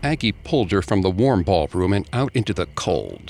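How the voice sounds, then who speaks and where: Using a very deep, low pitch with vocal fry, a man speaks at a moderate pace with very wide pitch swings. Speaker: podcast host narrator. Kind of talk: scripted true-crime horror narration, told as a dramatized ghost story. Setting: studio. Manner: dramatic, measured storyteller delivery.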